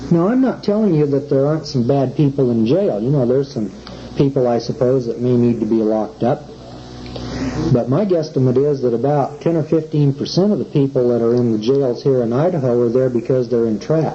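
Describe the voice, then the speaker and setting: A man with an American accent talks at a fairly quick pace, his pitch medium and its variation ordinary. His loudness stays very even, and the room echo is audible. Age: 40s. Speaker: common law lecturer. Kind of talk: lecture. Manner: conversational, rhetorical questions.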